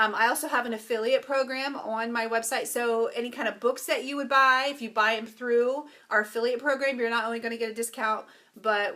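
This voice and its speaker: A woman speaks at a fairly quick pace. Her voice is fairly high in pitch, with a bright, sharp tone. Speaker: ministry leader and yoga coach. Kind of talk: live stream talk to viewers. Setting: live video stream. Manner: fast; animated.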